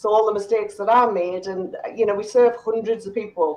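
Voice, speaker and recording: Her pitch sits fairly high as a woman talks. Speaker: small business coach. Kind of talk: online panel chat.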